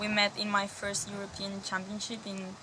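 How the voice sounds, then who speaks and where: Noticeable background noise surrounds a woman talking at a medium pitch. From Spain. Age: 20s. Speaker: softball player. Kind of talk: interview. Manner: hesitant, many fillers.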